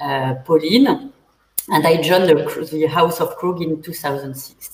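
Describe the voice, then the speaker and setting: A woman with a French accent speaks at a fairly low pitch and a fairly slow pace. Her intonation is lively, and her loudness swings a lot. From central France. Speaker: winemaker. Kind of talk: panel interview. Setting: online livestream. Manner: halting.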